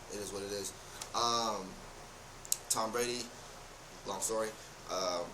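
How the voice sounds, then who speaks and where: Amid noticeable background noise and audible room echo, a man talks at a fairly slow pace with long, frequent pauses. His fairly low voice is monotone and flat. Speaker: youtuber. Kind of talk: casual vlog monologue. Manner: halting.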